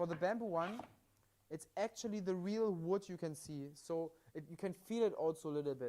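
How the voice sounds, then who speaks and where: Moderately paced speech from a man, high in pitch, with ordinary rises and falls. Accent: German. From Germany. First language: German. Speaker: livestream product presenter. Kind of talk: live sales demonstration. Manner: halting with repetitions.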